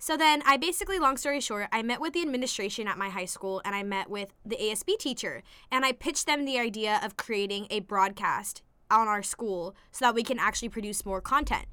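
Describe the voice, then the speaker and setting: On a very clean recording with a silent background, a woman with an American accent speaks in a bright, sharp tone, her fairly high pitch moving with lively intonation. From US West Coast, La Mirada, California. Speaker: college student. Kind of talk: casual interview.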